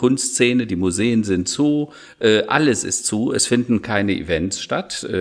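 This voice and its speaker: This man has a plain, everyday voice, pitched in the medium range and showing ordinary pitch variation as he talks at a fairly slow pace. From Rhineland, Germany. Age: 50s. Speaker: digital strategy consultant and keynote speaker. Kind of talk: podcast interview.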